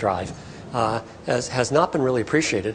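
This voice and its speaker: Over noticeable background noise, a man speaks very fast in a medium pitch. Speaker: professor giving a health talk. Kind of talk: public lecture to patients and partners. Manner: animated, can speed up when excited.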